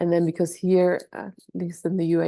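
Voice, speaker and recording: A woman speaks with a German accent at a fairly low pitch. Her tone is dark and mellow against a quiet background. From Germany. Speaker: doula. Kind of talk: online workshop. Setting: video call. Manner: hesitant, many fillers.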